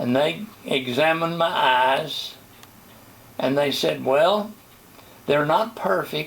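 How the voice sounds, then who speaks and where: Very slowly, a man with a fairly high voice speaks over noticeable background noise. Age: 80s+. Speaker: retired pastor. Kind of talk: testimony. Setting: interview.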